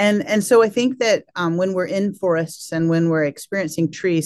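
A woman with an American accent, an ordinary speaking voice, fairly low in pitch, with lively intonation at a moderate pace. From US South. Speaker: biology professor and author. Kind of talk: interview.

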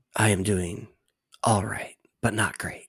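In a put-on character voice, a man talks at a fairly slow pace with a raspy, fairly low pitch and a monotone, flat intonation. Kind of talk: calm, polished, broadcast-style. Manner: soft, measured, subdued.

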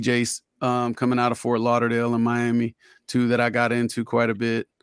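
In an American accent, a man talks at a moderate pace with a medium pitch and a monotone, flat intonation. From Florida, Orlando. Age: 40s. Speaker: rapper. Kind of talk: casual chat.

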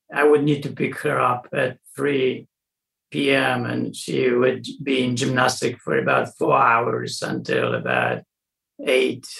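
A man speaks with a Polish accent. He goes at a very slow pace. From Poland. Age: 60s. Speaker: weightlifting coach. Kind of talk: interview. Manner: halting.

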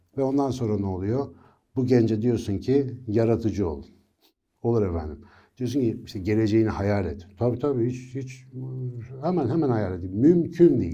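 Heard with audible room echo, a man's dark, mellow voice sits at a medium pitch, moving at a moderate pace with lively intonation. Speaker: neuroscience educator. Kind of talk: educational monologue. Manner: conversational.

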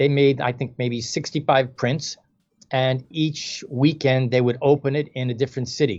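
Against a quiet background, a man with an American accent and an ordinary speaking voice talks at a moderate pace and a fairly high pitch. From New York, the Bronx. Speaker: filmmaker. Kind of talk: interview.

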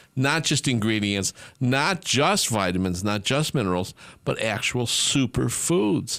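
On a very clean recording with a silent background, a man with an ordinary speaking voice talks at a fairly slow pace and medium pitch, keeping his loudness very even while his intonation stays lively. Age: 60s. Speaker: radio host and supplement formulator. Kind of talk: casual chat.

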